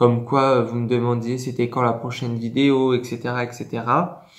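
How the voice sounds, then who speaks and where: Monotone, flat intonation at a fairly slow pace. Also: man. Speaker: ASMR creator. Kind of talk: casual talk to camera. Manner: hesitant, many filler words.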